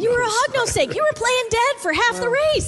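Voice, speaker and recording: Loud background noise surrounds a woman doing a put-on character voice, her pitch extremely high and her pace fairly quick. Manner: teasing, playful.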